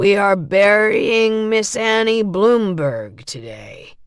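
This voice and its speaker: This raspy, put-on character voice moves at a very slow pace. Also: woman, medium pitch for a woman. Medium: read story. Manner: careful and slow.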